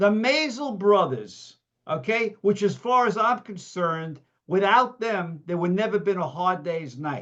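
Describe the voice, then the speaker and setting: In a New York accent, a man with a high pitch speaks at a fairly slow pace with lively intonation. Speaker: memorabilia collector. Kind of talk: casual chat. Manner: animated.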